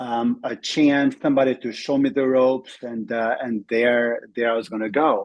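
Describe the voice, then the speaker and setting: A man speaks in an Albanian accent at a medium pitch. His intonation is monotone and flat. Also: moderate pace, hardly any pauses. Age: 40s. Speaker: network marketing entrepreneur. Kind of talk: interview testimony.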